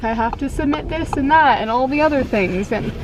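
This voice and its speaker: Noticeable background noise and audible room echo fill the recording. A woman speaks at a fairly quick pace. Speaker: lifestyle vlogger. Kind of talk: vlog talk to camera. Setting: at home. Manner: casual, lots of filler words.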